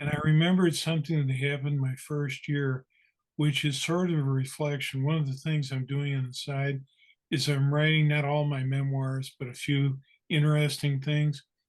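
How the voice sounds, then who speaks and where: Somewhat breathy and fairly high-pitched, a man speaks in a monotone, flat way at a moderate pace. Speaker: lawyer. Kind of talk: casual storytelling.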